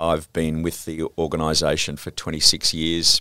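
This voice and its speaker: A man speaks at a very deep, low pitch in a bright, sharp tone. The recording is very clean and dry, close with no echo and a silent background. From Sydney, Australia (St George area). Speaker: television and entertainment executive. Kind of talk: interview. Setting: office.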